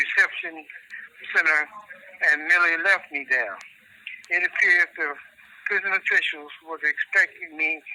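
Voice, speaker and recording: A man's voice amid noticeable background noise. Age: 70s. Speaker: prison inmate. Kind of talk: reading aloud. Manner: halting.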